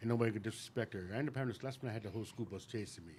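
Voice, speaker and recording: This man speaks with an American accent at a medium pitch. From upstate New York. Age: 60s. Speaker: guest sharing recovery story. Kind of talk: testimony. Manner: stutters when thinking fast.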